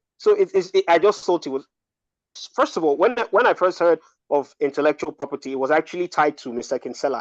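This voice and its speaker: Speaking very fast with lively intonation, a man with a fairly high pitch comes through in a dry, close sound with no echo. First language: not English. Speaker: libertarian speaker. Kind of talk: casual discussion. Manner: halting, many fillers and repeats.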